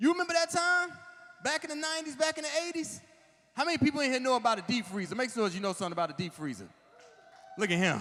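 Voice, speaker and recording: A man projects his extremely high voice very fast, with very wide pitch swings. He stops for long, frequent pauses, and background noise is noticeable. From Washington DC area. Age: 40s. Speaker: comedian. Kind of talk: stand-up. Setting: stage with audience. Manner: animated.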